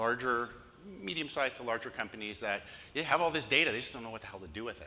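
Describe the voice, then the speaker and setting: Speaking very fast at a medium pitch, a man has a bright, sharp tone, ordinary pitch variation and big swings in loudness. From Canada, Toronto, Ontario. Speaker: digital marketing consultant. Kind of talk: conference presentation.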